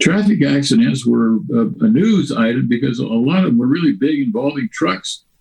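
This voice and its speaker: A man speaks with an American accent and a somewhat breathy voice. His pitch swings very widely while his loudness stays very even. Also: moderate pace. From California, Central Valley. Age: 80s+. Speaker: newspaper journalist. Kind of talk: oral history interview. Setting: video call.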